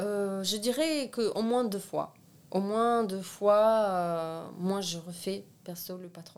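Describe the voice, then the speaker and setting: A woman talks at a very slow pace in a medium pitch, with ordinary pitch variation and big swings in loudness. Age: 20s. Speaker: seamstress and art student. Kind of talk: casual interview.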